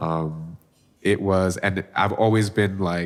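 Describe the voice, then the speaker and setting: Heard in a very clean recording with a silent background, a man speaks at a very deep, low pitch. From Bangladesh. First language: Bengali. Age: 20s. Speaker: singer-songwriter. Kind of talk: casual interview chat. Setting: studio.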